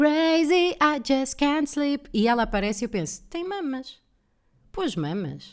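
With an animated tone and very wide pitch swings, the voice moves at a fairly slow pace. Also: woman. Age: 30s. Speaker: comedian and podcast host. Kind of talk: solo casual monologue.

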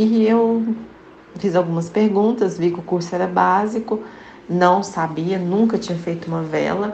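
Against noticeable background noise and audible room echo, a woman talks at a fairly slow pace in a medium pitch with fairly even intonation. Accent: Minas Gerais. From Minas Gerais, Brazil. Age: 30s. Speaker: candle maker and small business owner. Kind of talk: interview.

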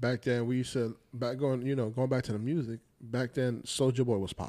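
With an American accent, a man at medium pitch talks at a fairly quick pace in a dark, mellow tone. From New Jersey. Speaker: podcast co-host. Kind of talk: casual banter.

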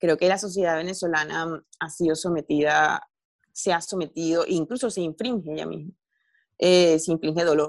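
Against a quiet background, a woman talks in a normal speaking voice at a moderate pace, with a fairly low pitch and fairly even intonation. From Venezuela. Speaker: journalist and novelist. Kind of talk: interview conversation.

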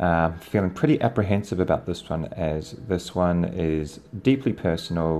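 The voice carries a New Zealand accent and a dark, mellow tone. Pitch varies in an ordinary way at a moderate pace. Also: man, very deep, low pitch for a man. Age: 30s. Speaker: podcaster. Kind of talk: personal storytelling.

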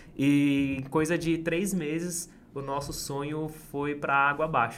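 There is audible room echo around this man's voice. His intonation stays fairly even. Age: 20s. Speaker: street vendor and entrepreneur. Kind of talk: interview storytelling.

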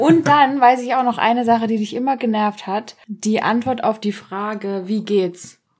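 A woman with a normal speaking voice talks at a moderate pace with hardly any pauses, her fairly high pitch moving with ordinary variation. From Germany. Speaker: podcast host. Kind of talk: casual chat.

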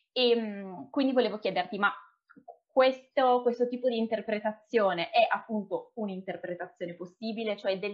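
A woman talks in an unremarkable speaking voice, her pitch varying in an ordinary way as she keeps a moderate pace. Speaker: podcast host. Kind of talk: interview conversation.

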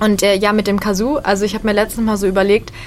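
Speaking fairly quickly, a woman has a plain, everyday voice at a medium pitch. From western Germany, Bonn. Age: 20s. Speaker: stand-up comedian. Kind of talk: casual radio interview.

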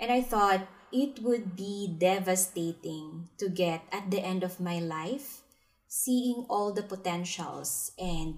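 Over music in the background, a woman speaks at a very slow pace with a medium pitch, ordinary pitch variation and an upbeat tone. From Philippines. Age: 20s. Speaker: podcast host, wealth manager. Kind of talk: solo podcast monologue.

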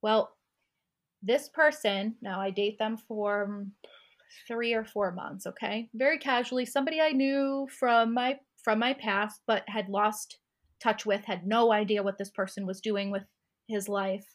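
In a very clean recording with a silent background, a woman talks at a fairly slow pace in an ordinary speaking voice, fairly high in pitch with ordinary pitch variation. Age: 30s. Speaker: sober lifestyle coach. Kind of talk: casual interview.

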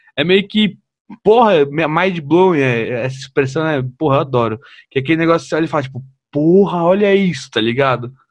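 This man has a fairly high pitch and a plain, everyday voice, talking at a moderate pace with lively intonation. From São Paulo, Brazil. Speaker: podcast host and comedian. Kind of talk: casual interview.

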